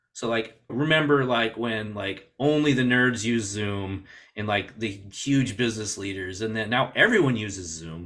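A man speaks at medium pitch with a bright, sharp tone. His pace is moderate, with hardly any pauses and ordinary pitch variation. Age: 40s. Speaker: podcast host. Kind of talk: casual interview.

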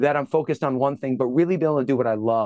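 A man's voice with ordinary pitch variation, dry and close with no echo, over a quiet background. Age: 50s. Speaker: fitness and nutrition expert. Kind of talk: casual chat. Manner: halting, with speech challenge.

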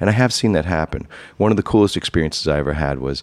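With a New York accent, a man speaks in a very deep, low pitch, the sound dry and close with no echo. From New York City (Queens). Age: 40s. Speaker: high-end comic book dealer. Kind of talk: interview. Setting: on location at his shop.

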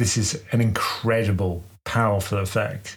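A somewhat breathy voice with a British accent. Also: man. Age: 50s. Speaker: investing podcast co-host. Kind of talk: casual chat.

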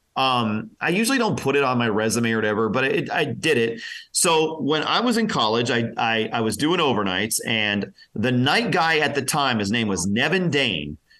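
An ordinary speaking voice from a man with an American accent, medium pitch, lively intonation, moderate pace and very even loudness. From Pennsylvania. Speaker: radio personality. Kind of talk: interview.

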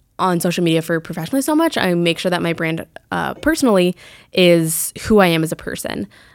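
With an American accent and a plain, everyday voice, a woman speaks at a fairly quick pace in a fairly low pitch with ordinary pitch variation, on a very clean recording with a silent background. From Colorado, Fort Collins. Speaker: journalist. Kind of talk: interview.

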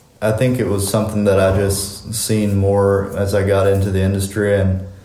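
A man with an American accent speaks in a fairly low pitch and a dark, mellow tone. His intonation is monotone and flat, and audible room echo surrounds him. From US Mennonite community. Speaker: construction business owner. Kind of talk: interview.

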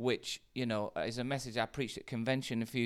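A man with a British accent, medium pitch and moderate pace, on a very clean recording with a silent background. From UK. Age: 40s. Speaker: pastor. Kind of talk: casual chat.

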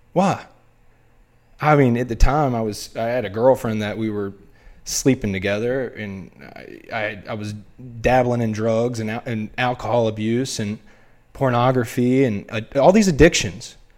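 A man's medium-pitched voice with a Southern US accent, ordinary pitch variation, big swings in loudness, a moderate pace, and long, frequent pauses. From US South, North Carolina (Wilmington). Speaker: former college baseball player. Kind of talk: casual chat.

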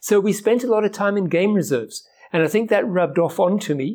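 In a very clean recording against a silent background, the speaking runs at a fairly quick pace. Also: man. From Kenya. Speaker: ornithologist. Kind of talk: interview.

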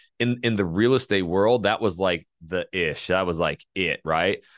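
A man with an American accent at a moderate pace. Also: quiet background. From North Idaho, US. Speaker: YouTube course co-founder and real estate agent. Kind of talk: casual interview. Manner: animated.

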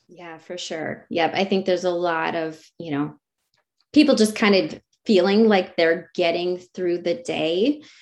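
A normal speaking voice with an American accent moves at a fairly slow pace with ordinary pitch variation. Its loudness swings widely against a quiet background. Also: woman, fairly low pitch for a woman. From Wisconsin, rural US Midwest. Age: 40s. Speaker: success coach, former teacher. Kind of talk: interview.

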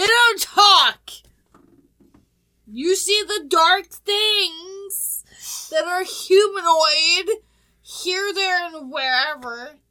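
In a put-on character voice, a woman speaks with an extremely high pitch at a very slow pace, leaving long, frequent pauses.

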